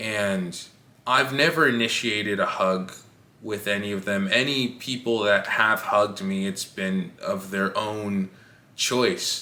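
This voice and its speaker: At a very slow pace, a man speaks with a fairly low pitch and ordinary pitch variation. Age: young. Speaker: vlogger. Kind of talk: casual personal monologue. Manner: halting.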